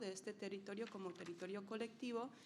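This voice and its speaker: With audible room echo, a woman at a medium pitch speaks at a fairly quick pace in monotone, flat intonation. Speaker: NGO program leader. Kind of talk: conference presentation. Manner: halting, many fillers.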